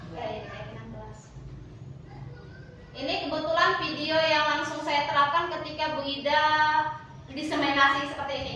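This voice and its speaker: A shrill, raised, projected voice speaks in a monotone, flat way with long, frequent pauses, amid noticeable background noise and audible room echo. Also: woman, high pitch for a woman, moderate pace, big swings in loudness. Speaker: primary school teacher. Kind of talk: training presentation.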